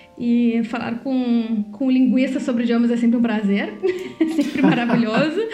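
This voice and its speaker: A woman's high voice with fairly even intonation, audible room echo and music in the background. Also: moderate pace. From Brazil. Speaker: podcast co-host. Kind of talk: casual chat.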